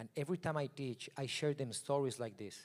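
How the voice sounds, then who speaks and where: A man with a non-native accent speaks at a moderate pace. His intonation stays fairly even. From Mexico. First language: Spanish. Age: 40s. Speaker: photographer. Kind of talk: keynote talk.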